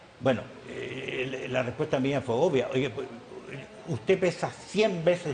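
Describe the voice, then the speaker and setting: A man's speech proceeds at an even, middling rate while noticeable noise sounds behind him. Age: 80s+. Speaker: businessman and former industry leader. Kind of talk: TV interview. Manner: halting, with frequent repetitions.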